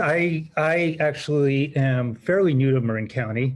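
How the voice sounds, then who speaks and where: Speaking very slowly, a man with an American accent has a fairly high pitch and a somewhat breathy voice. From California. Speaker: applicant for a public commission seat. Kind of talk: self-introduction at a public meeting. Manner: halting, many fillers.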